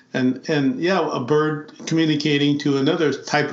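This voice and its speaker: The room echo is audible as a man speaks. His voice is fairly high and his pace moderate. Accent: American. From US Midwest, South Dakota Lakota reservation. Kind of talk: interview conversation. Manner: halting.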